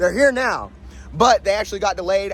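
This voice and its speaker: A man speaks. Music plays in the background. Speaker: car detailer. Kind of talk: casual talk to camera. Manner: fast, stuttering.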